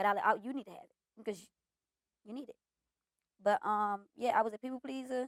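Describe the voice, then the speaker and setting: The woman's voice is fairly high in pitch. She has an American accent. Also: dry, close sound with no echo. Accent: DC accent that others notice, she denies it. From Washington DC (southwest). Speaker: content creator and comedian. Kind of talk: casual interview.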